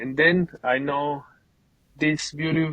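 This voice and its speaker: This man speaks with a Colombian accent in a fairly high pitch, his tone bright and sharp, his intonation flat and monotone, and the sound dry and close with no echo. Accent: Colombian Spanish accent, noticeable. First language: Spanish. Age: 20s. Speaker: painting business owner. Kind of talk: casual interview. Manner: halting, repeats words.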